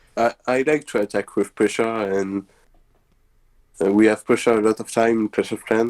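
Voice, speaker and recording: A man speaks with a French accent at a medium pitch and a moderate pace, using fairly even intonation. His long, frequent pauses sit in a dry, close sound with no echo. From France, Normandy. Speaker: esports player. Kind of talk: interview answers. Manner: halting.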